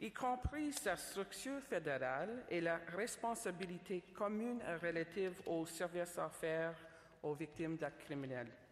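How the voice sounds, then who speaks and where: Her voice sits fairly low for a woman. She speaks at a fairly slow pace. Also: lively intonation. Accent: English. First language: English (speaking French). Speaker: government official, speaker. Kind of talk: conference speech. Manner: formal, somewhat halting.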